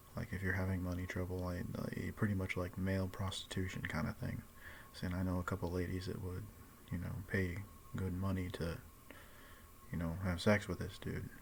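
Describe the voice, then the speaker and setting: Quiet and somewhat breathy, a man speaks in a very deep, low voice with monotone, flat intonation and long, frequent pauses. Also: moderate pace. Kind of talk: casual vlog monologue. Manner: quiet, hushed; hesitant, filler-heavy.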